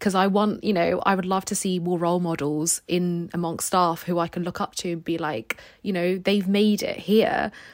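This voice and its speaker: In a British accent, a woman talks at a moderate pace and medium pitch. Her intonation is fairly even, and the recording is very clean with a silent background. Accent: British, described as posh and well spoken. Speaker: graduate entry medical student.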